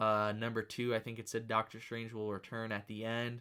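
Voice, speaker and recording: This man's voice has a bright, sharp tone at a medium pitch. The recording is very clean, with a silent background. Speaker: movie news youtuber. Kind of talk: casual commentary. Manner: fast.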